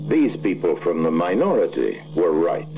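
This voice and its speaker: A man's voice against noticeable background noise. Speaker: narrator. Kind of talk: animated short film narration.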